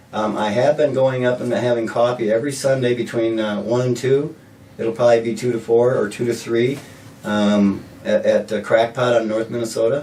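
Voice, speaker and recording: Fairly even intonation at a moderate pace amid noticeable background noise. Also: man. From South Dakota, Sioux Falls. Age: 60s. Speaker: mayoral candidate. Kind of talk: interview. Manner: halting, repeats words.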